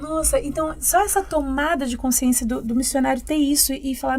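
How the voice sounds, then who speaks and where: Against noticeable background noise, a woman with a high pitch talks at a fairly quick pace using fairly even intonation. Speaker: podcast co-host. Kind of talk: podcast conversation.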